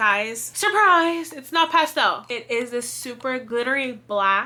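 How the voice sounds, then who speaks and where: A raised, projected voice swings very widely in pitch over noticeable background noise. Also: woman. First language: not English. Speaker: crafting video creator. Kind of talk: casual unboxing chat. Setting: home room, alone. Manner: animated.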